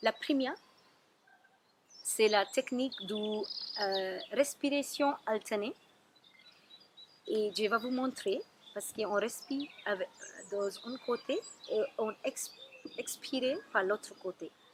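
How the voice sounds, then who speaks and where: A woman with a strong non-native accent talks at a very slow pace with long, frequent pauses. Noticeable background noise is present. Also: fairly high pitch for a woman, ordinary pitch variation. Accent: strong foreign. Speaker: Ayurveda therapist. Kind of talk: wellness tips talk to camera.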